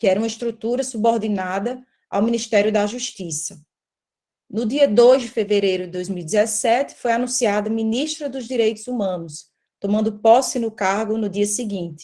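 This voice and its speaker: A woman with a dark, mellow tone speaks at a moderate pace and a fairly high pitch, with ordinary pitch variation. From Brazilian Northeast. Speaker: court analyst and law researcher. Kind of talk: academic presentation.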